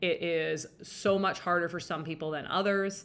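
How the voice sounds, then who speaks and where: In a Western Canadian accent, a woman with a bright, sharp tone speaks at a fairly low pitch and moderate pace with ordinary pitch variation. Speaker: dating and relationship podcast host. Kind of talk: solo podcast monologue. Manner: casual, filler-heavy.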